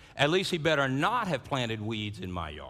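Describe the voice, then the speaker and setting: Audible room echo surrounds a man with a South Louisiana accent, a medium pitch, a bright, sharp tone, and very wide pitch swings. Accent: South Louisiana Southern US. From US South, South Louisiana. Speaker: pastor. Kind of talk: sermon. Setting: church service. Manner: repeats first sounds of words.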